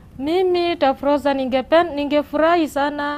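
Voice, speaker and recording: A woman with a high-pitched voice speaks at a fairly slow pace. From western Kenya, Vihiga; Kenya. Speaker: mother seeking help for sick child; guest. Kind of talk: TV interview testimony. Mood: sad, pleading. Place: studio. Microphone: lapel.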